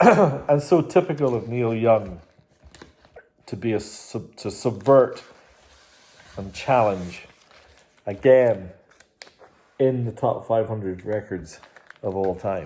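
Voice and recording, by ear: A man's hoarse, put-on character voice at medium pitch, with lively intonation, a fairly slow pace and long, frequent pauses.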